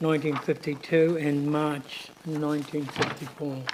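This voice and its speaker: Over noticeable background noise, a man speaks fairly slowly in a fairly high voice. His intonation stays monotone and flat. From New Zealand, Māori (Northland). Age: 70s. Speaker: claimant giving evidence at a tribunal hearing. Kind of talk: formal testimony. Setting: tribunal hearing, seated. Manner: hesitant, with frequent fillers.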